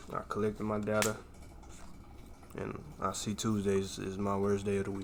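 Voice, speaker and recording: In a room with audible echo, a man with a fairly low pitch speaks at a moderate pace in an animated tone. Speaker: day trader streaming live. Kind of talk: live trading commentary. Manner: loud; casual, animated.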